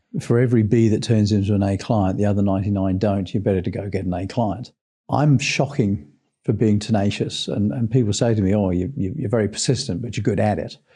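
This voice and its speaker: Talking at a very fast pace, a man has a fairly low pitch and a dark, mellow, somewhat breathy tone. His pitch varies in an ordinary way over a quiet background. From England. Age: 60s. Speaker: sales trainer. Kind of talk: interview.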